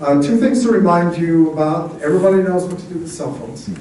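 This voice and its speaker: Background noise can be clearly heard. Over it, a man talks. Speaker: cultural director of the venue. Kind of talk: welcome announcement to a live audience.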